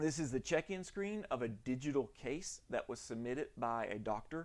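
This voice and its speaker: In a Southern US accent, a man speaks at a moderate pace and a fairly high pitch, with lively intonation. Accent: Southern US, self-described janky. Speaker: orthodontic lab owner. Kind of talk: live stream tutorial. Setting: live stream in home lab. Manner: casual, halting with many fillers.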